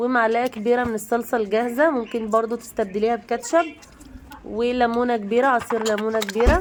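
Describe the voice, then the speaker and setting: Over noticeable background noise, a woman with an Egyptian accent speaks at a moderate pace in a fairly high pitch with fairly even intonation. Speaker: cooking channel host. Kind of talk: cooking tutorial. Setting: home kitchen.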